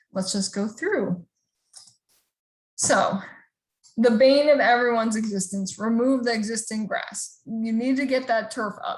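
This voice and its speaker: A woman's somewhat breathy, fairly high voice at a fairly slow pace, with ordinary pitch variation. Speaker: rain garden presenter. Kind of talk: webinar presentation. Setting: online video call.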